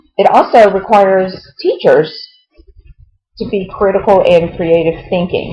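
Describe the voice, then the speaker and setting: A woman with a dark, mellow tone, somewhat breathy, at a medium pitch and a moderate pace. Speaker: online course instructor. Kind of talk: course lecture video. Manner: frequent filler ums; firm, stern when discussing plagiarism.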